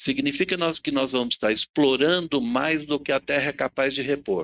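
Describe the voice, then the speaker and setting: On a very clean recording with a silent background, a man with an ordinary speaking voice talks at a moderate pace, his fairly high pitch carried by lively intonation. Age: 60s. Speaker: panel speaker on sustainability. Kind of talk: talk at a public event.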